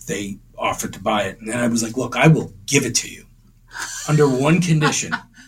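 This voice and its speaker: Against noticeable background noise, a man with an American accent talks at a fairly quick pace, his loudness swinging widely. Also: medium pitch for a man. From Boston area, Massachusetts (Winthrop). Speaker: amateur painter and photographer, insurance worker. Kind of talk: interview. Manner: halting.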